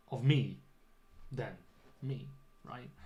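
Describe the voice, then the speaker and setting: The speaker is a man with a somewhat breathy voice. He goes at a fairly slow pace, and the room echo is audible. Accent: British. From UK. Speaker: English teacher. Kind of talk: livestream lesson chat. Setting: home studio livestream. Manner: clear teacher voice.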